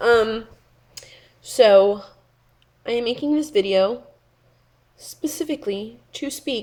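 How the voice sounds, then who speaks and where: A soft-spoken woman with a dark, mellow tone and ordinary pitch variation, in a very clean recording with a silent background. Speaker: beauty vlogger. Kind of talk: casual vlog rant.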